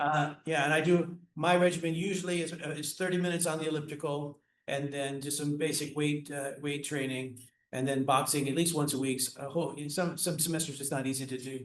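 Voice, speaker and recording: The speaker is a man with a fairly high voice. He goes at a fairly quick pace in a flat monotone. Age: 60s. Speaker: orchestra conductor, music educator, Parkinson's patient. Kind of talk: casual interview chat. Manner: halting, many repetitions and fillers.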